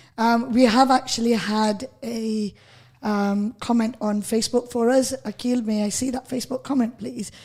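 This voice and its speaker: A woman with a Lancashire accent speaks at a moderate pace in a fairly high pitch, her intonation flat and monotone. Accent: Bolton. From northern England, Bolton. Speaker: radio host. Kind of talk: radio interview.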